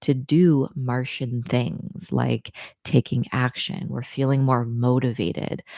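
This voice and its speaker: A woman speaks at a fairly slow pace in a very deep, low pitch with a dark, mellow tone. The sound is dry and close, with no echo. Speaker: astrologer. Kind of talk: casual monologue. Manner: soft-spoken.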